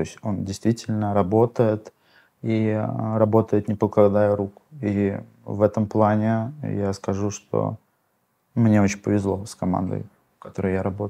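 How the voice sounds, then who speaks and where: A man speaks at a fairly low pitch with fairly even intonation. His tone is dark and mellow. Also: quiet background. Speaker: hosting company co-founder. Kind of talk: interview.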